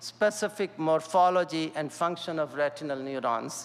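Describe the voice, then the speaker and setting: The man's voice sits high, moving at a moderate pace with ordinary pitch variation. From India. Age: 60s. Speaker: scientist. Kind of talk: lecture. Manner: halting.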